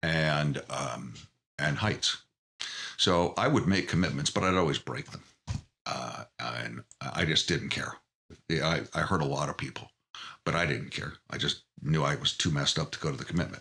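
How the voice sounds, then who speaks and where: A man's very deep, low voice with a bright, sharp tone, vocal fry and ordinary pitch variation. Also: moderate pace. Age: 60s. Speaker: podcast guest. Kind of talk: interview.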